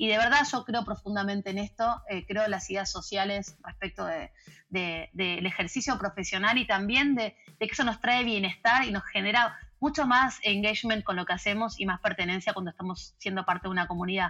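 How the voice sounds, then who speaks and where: A bright, sharp tone comes from a woman. She keeps a fairly quick pace. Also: medium pitch for a woman, ordinary pitch variation. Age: 40s. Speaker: organizational culture consultant. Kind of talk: interview.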